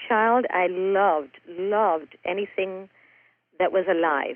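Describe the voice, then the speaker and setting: A woman at a medium pitch, talking at a fairly slow pace in a normal speaking voice. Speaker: author and raw food chef. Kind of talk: casual interview.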